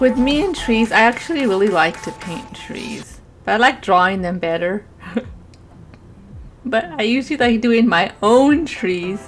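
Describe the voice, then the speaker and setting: A woman at a fairly slow pace with lively intonation and long, frequent pauses, music in the background. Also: fairly high pitch for a woman. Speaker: gamer and artist streamer. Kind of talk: voiceover narration of painting.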